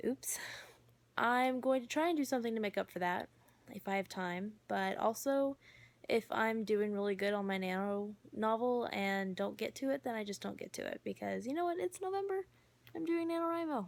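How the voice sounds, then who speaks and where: A woman's fairly high voice with very wide pitch swings. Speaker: book vlogger. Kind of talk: casual vlog. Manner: fast.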